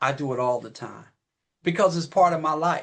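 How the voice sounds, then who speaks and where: The speaker uses a normal speaking voice at a moderate pace. The background is quiet. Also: man. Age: 60s. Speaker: business partner speaking on company call. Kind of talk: motivational talk.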